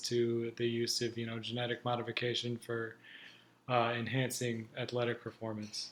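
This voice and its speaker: A man speaks at a moderate pace, his pitch sitting in the medium range. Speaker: student. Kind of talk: class presentation. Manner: halting.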